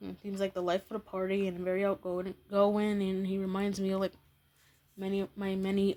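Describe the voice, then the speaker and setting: This soft-spoken woman talks at a moderate pace in a dark, mellow tone, her medium pitch held in a flat monotone. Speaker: YouTuber. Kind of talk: casual vlog commentary. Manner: halting.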